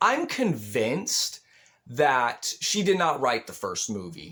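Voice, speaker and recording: A man talks with an animated tone at a fairly high pitch. He goes at a fairly slow pace, with vocal fry. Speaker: movie reviewer youtuber. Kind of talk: movie review rant. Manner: pitch rises when ranting.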